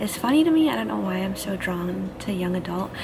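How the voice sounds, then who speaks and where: A quiet woman speaks at a moderate pace and medium pitch. Audible room echo and noticeable background noise surround her. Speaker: book vlogger. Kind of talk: casual vlog. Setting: library. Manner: quiet, hushed.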